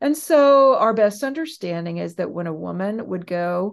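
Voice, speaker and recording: A woman in a plain, everyday voice with an American accent, medium pitch, moderate pace and lively intonation, over a quiet background. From US West Coast. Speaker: professor. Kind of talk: interview.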